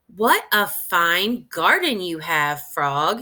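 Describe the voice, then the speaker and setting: Using a put-on character voice, a woman with medium pitch speaks at a very slow pace. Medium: read story. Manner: patient, reassuring.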